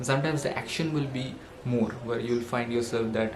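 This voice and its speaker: With a non-native accent, a man speaks at a fairly quick pace, medium-pitched, with fairly even intonation. Noticeable background noise and audible room echo are present. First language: not English. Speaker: self-help vlogger. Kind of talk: motivational monologue. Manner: halting, with fillers.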